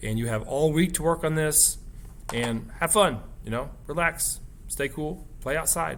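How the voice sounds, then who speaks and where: At a fairly slow pace, a man with a fairly high pitch speaks in a plain, everyday voice with ordinary pitch variation. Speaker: art teacher. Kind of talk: tutorial.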